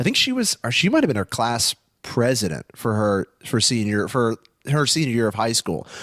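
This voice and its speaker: A man with an unremarkable speaking voice talks at a moderate pace and medium pitch, with ordinary pitch variation. His loudness is very even, and the sound is dry and close with no echo. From US West Coast, Los Angeles. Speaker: comedian. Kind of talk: casual chat.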